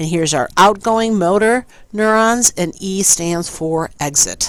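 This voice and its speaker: A woman's plain, everyday voice at medium pitch, fairly slow, with ordinary pitch variation. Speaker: teacher. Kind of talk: recorded lecture.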